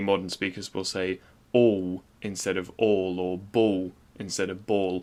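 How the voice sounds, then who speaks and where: An ordinary speaking voice with fairly even intonation comes through in a very clean recording with a silent background. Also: man. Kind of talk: video essay narration.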